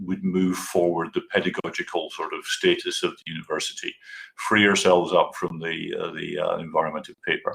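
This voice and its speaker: This man speaks in a Scottish accent. His pace is moderate. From Scotland. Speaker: university staff presenter. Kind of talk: conference presentation.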